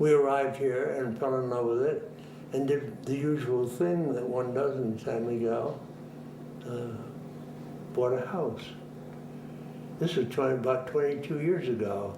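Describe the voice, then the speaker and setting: Speaking at a fairly slow pace with long, frequent pauses, a man with an American accent and a medium pitch uses ordinary pitch variation, with audible room echo and noticeable background noise. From Boston, US New England. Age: 90s. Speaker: retired minister. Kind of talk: interview, life story. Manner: halting, with repetitions.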